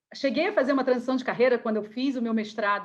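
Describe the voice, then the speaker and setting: A woman speaks in a Rio de Janeiro accent. Her intonation stays fairly even. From Rio de Janeiro, Brazil. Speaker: career coach. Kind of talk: online workshop talk.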